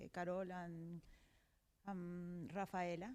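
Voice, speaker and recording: This is a woman speaking. She has a Colombian accent. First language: Spanish. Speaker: digital marketing professional on a panel. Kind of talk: panel discussion. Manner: halting, searching for words.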